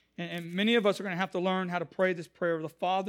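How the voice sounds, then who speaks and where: With an American accent, a man speaks at a high pitch and fairly even intonation in a very clean recording with a silent background. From Houston, Texas. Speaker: pastor. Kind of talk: live church sermon with congregational call-and-response. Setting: church. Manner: fervent, emphatic preaching cadence punctuated with 'Can I get an amen?'.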